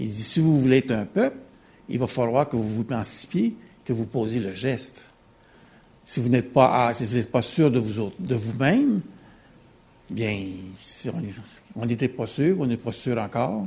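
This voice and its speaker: Speaking fairly slowly with long, frequent pauses, a man uses a medium pitch, ordinary pitch variation, and a dark, mellow tone that is somewhat breathy. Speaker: audience member. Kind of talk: audience question.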